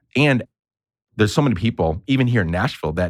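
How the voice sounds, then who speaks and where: With a Northeastern US accent, the voice comes through a very clean recording with a silent background, dry and close with no echo. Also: man. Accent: Northeastern US way of talking. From grew up overseas, from New York. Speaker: podcaster and consultant. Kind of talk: interview conversation. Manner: animated; casual, swears.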